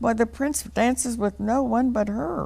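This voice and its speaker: A man performs a put-on character voice. His pitch sits high. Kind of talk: bedtime story. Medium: read story. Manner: mocking, spiteful.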